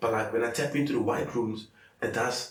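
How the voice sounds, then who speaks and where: Speaking very fast, a man is heard with audible room echo. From South Africa, coloured community. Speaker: comedian. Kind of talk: casual chat.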